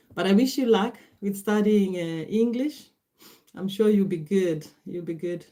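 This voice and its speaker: At a moderate pace, a woman with a Kenyan accent speaks in a dark, mellow tone with ordinary pitch variation. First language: Gikuyu. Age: 40s. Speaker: livestreamer. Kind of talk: casual livestream chat. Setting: livestream at computer. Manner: halting.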